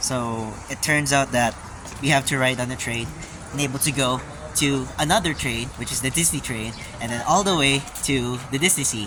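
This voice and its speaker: A man talks at a moderate pace and a medium pitch. His pitch varies in an ordinary way, and there is noticeable background noise. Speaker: travel vlogger. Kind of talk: casual vlog narration. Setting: outdoors and on trains. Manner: hesitant, many fillers.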